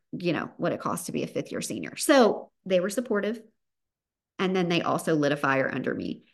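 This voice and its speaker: A woman's warm, upbeat tone in a Southern US accent, with very wide pitch swings. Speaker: podcast host and business founder. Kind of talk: solo podcast monologue, motivational. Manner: warm, upbeat, animated.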